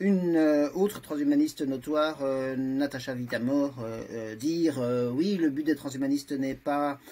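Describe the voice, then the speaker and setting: A man with a fairly high pitch, lively intonation, and a fairly slow pace. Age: 60s. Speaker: transhumanist association vice-president, lawyer. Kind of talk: debate interview. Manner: halting, many hesitations.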